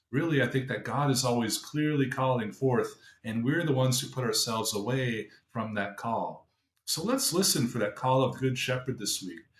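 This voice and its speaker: A man with an unremarkable speaking voice talks at a moderate pace, with medium pitch and ordinary pitch variation. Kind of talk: short gospel reflection podcast.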